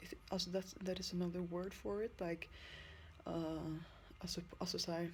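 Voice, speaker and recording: With long, frequent pauses, a woman speaks in a non-native accent. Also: moderate pace. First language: not English. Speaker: vlogger in drug recovery. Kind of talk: personal video diary. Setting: lying in bed. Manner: halting.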